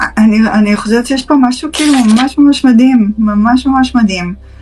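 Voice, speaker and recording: Noticeable background noise runs under the voice. It keeps a moderate pace with ordinary pitch variation. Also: woman. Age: 30s. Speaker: psychotherapist. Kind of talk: live-stream Q&A talk. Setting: live stream.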